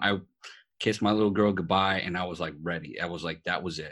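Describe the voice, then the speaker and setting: Speaking at a fairly quick pace with a New York accent, a man with a very deep, low pitch and a bright, sharp tone comes through on a very clean recording with a silent background. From New York City. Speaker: podcast host, veteran, motivational speaker. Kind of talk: casual chat.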